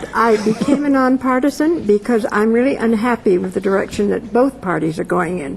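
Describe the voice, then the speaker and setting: A woman at a fairly high pitch with lively intonation and a fairly quick pace, with noticeable background noise. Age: 70s. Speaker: political pundit. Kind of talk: panel discussion.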